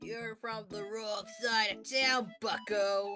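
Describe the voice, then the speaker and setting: A female-sounding voice speaks very slowly in a fairly high pitch, putting on a character voice. Faint music plays in the background. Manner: sneering, cowboy swagger.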